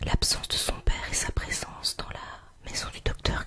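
Whispering at a very slow pace, a woman speaks. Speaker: ASMR artist. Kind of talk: whispered history reading. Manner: whispered. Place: home room. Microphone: studio mic.

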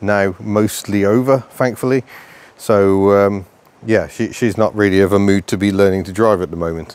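At a moderate pace, a man speaks in a fairly low pitch with a dry sound and no echo. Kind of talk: casual vlog chat. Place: street.

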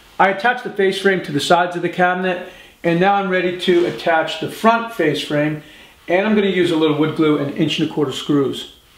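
There is audible room echo around a man speaking at a fairly quick pace. His pitch is high, with ordinary variation. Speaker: woodworking instructor. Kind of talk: tutorial. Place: workshop.

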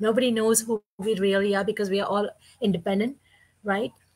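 A somewhat breathy woman's voice, fairly high in pitch, against a quiet background. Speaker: online business partner. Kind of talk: casual chat. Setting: live video stream. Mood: earnest, warm. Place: home room.

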